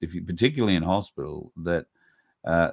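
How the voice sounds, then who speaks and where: A man with an Australian accent in a dry, close sound with no echo. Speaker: podcast host. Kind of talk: casual monologue commentary. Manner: conversational, with many fillers.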